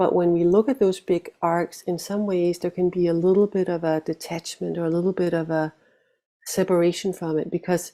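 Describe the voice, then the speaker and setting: A woman speaks in a dark, mellow tone at a fairly low pitch and a moderate pace. Her intonation is fairly even, on a very clean recording with a silent background. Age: 50s. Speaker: meditation teacher. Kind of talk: dharma talk.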